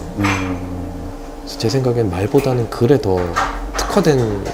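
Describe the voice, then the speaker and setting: A man's pitch varies in an ordinary way. Behind him, music can be heard. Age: 20s. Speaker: philosophy graduate, aspiring film director. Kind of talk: interview answer.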